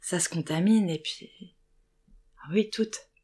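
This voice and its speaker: Fairly low female voice at a moderate pace with ordinary pitch variation. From Lorraine, France (small town). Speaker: actress. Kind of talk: testimony. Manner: hesitant.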